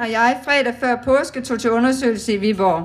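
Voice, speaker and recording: A shaky woman's voice with a high pitch moves at a moderate pace with ordinary pitch variation. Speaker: cancer survivor speaking at charity event. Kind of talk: public speech. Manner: trembling voice.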